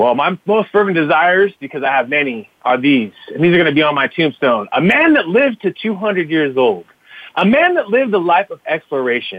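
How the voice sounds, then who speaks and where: A man with an American accent, high-pitched, with very wide pitch swings and a fairly quick pace. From Fresno, California. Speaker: social media marketer and podcaster. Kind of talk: interview conversation. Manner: energetic, upbeat, casual.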